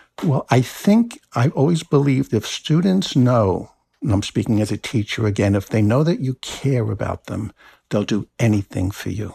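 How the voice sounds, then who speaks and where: With an American accent, a man speaks at a moderate pace in a somewhat breathy, dark, mellow tone and lively intonation, on a very clean recording with a silent background and a dry, close sound with no echo. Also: medium pitch for a man. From New Jersey. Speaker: essayist and university teacher. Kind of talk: casual interview.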